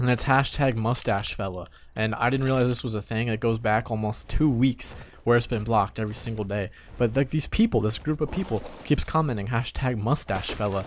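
Medium pitch from a man, varying in an ordinary way. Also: fairly quick pace.

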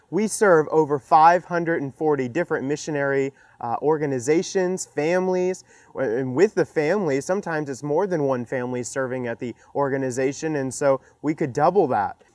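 This man talks at a fairly quick pace with ordinary pitch variation. The sound is dry with no echo, over a quiet background. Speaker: presenter. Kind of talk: fundraising appeal to camera. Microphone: lapel.

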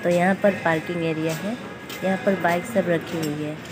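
This woman talks at a fairly slow pace while clear music sounds in the background. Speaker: travel vlogger. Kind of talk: casual vlog chat. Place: station. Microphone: phone near.

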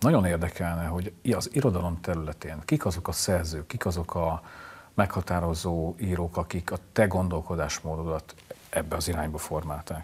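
A man's somewhat breathy voice, very deep and low in pitch, with fairly even intonation at a moderate pace. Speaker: literary show host. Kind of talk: interview. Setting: studio. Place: studio. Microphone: lapel.

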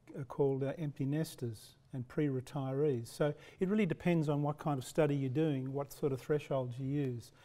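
At a moderate pace and with hardly any pauses, a man with an Australian accent speaks in a dark, mellow tone with fairly even intonation. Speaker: professor; lecturer. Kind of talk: lecture. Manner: halting. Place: hall. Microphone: podium.

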